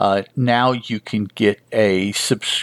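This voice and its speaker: A man's normal speaking voice with ordinary pitch variation, dry and close with no echo, in a very clean recording against a silent background. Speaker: comic book podcast host; emergency service worker. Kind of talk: podcast review of a comic issue, reading and recapping. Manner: casual, rambling, with fillers.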